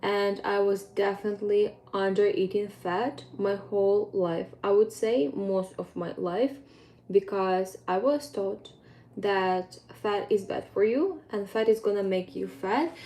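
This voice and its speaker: A woman's dark, mellow tone carries ordinary pitch variation at a fairly slow pace. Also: medium pitch for a woman. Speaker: fitness coach. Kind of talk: casual vlog update. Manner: hesitant, with fillers.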